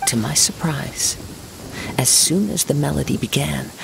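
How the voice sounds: A man's put-on character voice, fairly high and fairly bright, with vocal fry, lively intonation, a fairly slow pace and faint background noise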